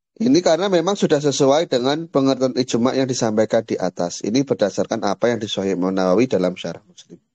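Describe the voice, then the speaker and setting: At a very fast pace with hardly any pauses, a man of medium pitch speaks in a dark, mellow tone with very wide pitch swings and big swings in loudness, the sound dry and close with no echo. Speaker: Islamic teacher. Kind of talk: lecture.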